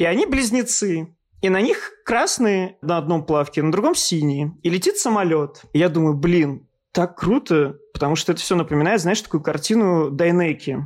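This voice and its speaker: The man's pitch is high, with ordinary variation, and his loudness is very even. He talks at a moderate pace on a very clean recording with a silent background. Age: 30s. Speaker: art historian and journalist. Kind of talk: casual interview.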